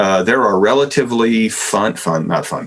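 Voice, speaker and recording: A man with a medium-pitched, unremarkable speaking voice speaks with lively intonation. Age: 60s. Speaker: philosophy professor. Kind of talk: podcast interview answer. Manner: conversational with fillers and repetitions.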